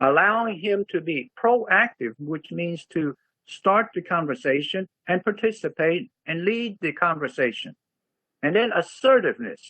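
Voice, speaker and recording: A man's high-pitched voice, fairly slow, with lively intonation. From United States. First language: Chinese (Taishanese). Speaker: communication coach. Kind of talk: casual explanation to student.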